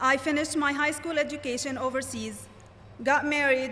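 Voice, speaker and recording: A woman speaks in a raised, projected voice at a high pitch. Her pace is moderate. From Lebanon. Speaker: graduating student speaker. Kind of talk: commencement speech.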